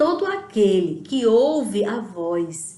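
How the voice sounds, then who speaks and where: Amid audible room echo, a woman with a fairly high pitch speaks at a very slow pace with very wide pitch swings. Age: 60s. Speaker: lay preacher. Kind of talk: sermon.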